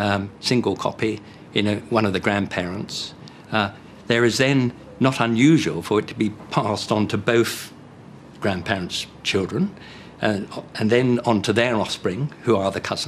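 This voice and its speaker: A man with a plain, everyday voice speaks at a moderate pace, his fairly low pitch showing ordinary variation. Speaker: medical genetics expert. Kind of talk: documentary interview.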